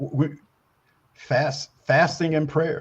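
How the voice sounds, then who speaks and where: A man talks at a very slow pace with fairly even intonation. His voice is somewhat breathy. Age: 70s. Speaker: newspaper publisher and Navy contractor. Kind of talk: interview. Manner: halting, many repetitions and fillers.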